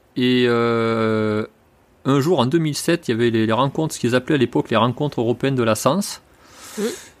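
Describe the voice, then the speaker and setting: A man with a plain, everyday voice talks at a moderate pace and medium pitch. The recording is very clean with a silent background. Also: ordinary pitch variation. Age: 40s. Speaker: horse trainer. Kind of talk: interview.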